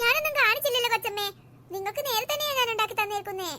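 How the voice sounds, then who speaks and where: A woman does a squeaky, cartoonish character voice at an extremely high pitch. She talks at a fairly quick pace with ordinary pitch variation. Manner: cheeky, complaining.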